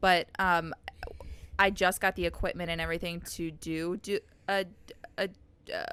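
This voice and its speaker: Loud and bright, sharp in tone, a woman speaks at a medium pitch and moderate pace with monotone, flat intonation and long, frequent pauses. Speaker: podcast host. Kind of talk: casual chat.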